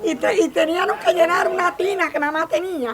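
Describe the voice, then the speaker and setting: Through noticeable background noise, a woman speaks at a moderate pace in an extremely high pitch with ordinary pitch variation. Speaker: elderly workshop participant. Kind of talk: casual chat.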